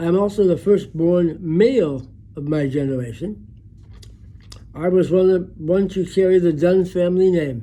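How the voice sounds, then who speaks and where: Using an American accent, a man speaks at a high pitch and moderate pace, his tone dark and mellow with ordinary pitch variation. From US Midwest, Chicago west side. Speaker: memoirist. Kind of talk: personal memoir narration.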